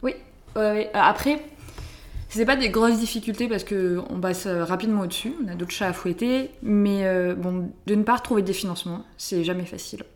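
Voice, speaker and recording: A woman with a southern French accent speaks at a moderate pace, her medium-pitched voice showing ordinary pitch variation. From southern France, Hérault. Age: 20s. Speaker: student, association founder. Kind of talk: casual interview. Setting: at home.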